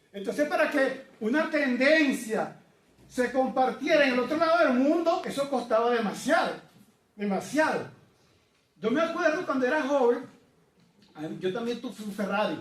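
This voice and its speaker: A man with an extremely high voice and a Venezuelan accent, at a moderate pace with lively intonation, long, frequent pauses and audible room echo. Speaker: preacher. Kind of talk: sermon. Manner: conversational.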